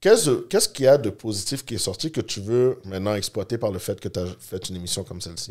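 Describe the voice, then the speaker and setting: In a quiet setting, a man with a fairly low voice talks very fast with hardly any pauses and ordinary pitch variation. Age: 30s. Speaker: podcast host. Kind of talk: casual interview; interview questions. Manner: halting, many fillers. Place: studio. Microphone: studio mic.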